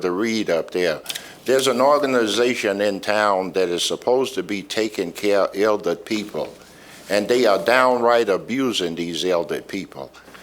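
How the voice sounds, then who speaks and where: A man speaks at a moderate pace in a fairly low voice with ordinary pitch variation, and the background noise is noticeable. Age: 70s. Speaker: resident giving public comment. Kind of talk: public comment at city meeting.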